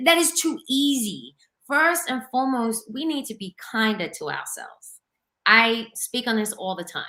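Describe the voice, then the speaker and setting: High-pitched and projected, a woman's bright, sharp voice moves at a moderate pace with lively intonation and big swings in loudness, in a very clean recording with a silent background. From Australia. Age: 30s. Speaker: fitness coach. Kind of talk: interview.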